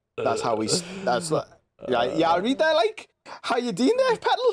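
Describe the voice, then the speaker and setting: A man with a Geordie accent talks with very wide pitch swings. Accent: loose Geordie. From northeast England (Newcastle area). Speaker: podcast host. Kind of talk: casual chat. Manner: animated.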